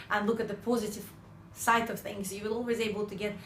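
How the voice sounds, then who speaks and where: Her intonation is monotone and flat, at a medium pitch for a woman. Audible room echo is present. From Ukraine. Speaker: sales trainer. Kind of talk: motivational talk.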